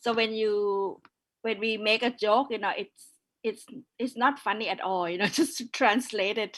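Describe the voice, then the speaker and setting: A woman with a northern Thai accent speaks at a moderate pace and a fairly high pitch. The recording is very clean, the background silent. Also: fairly even intonation. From Thailand, northern minority background. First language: Yong. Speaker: curator. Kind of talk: panel discussion.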